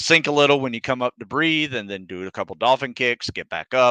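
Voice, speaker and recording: Here a man speaks at a fairly quick pace in a bright, sharp tone with ordinary pitch variation. The sound is dry and close with no echo, over a quiet background. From US South (North Florida / southern Georgia). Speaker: fitness coach, former Navy SEAL. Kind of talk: live Q&A stream. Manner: casual, conversational.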